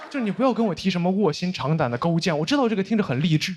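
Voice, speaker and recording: A man speaks in a Beijing accent at a high pitch, with very wide pitch swings. The recording is very clean, with a silent background. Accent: Beijing Mandarin. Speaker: stand-up comedian; university student. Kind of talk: stand-up comedy set.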